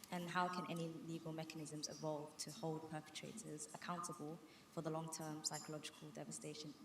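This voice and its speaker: A woman's very deep, low voice, fairly quick and monotone, with flat intonation over noticeable background noise. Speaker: student audience member. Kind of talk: audience question. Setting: university event with audience. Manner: fast.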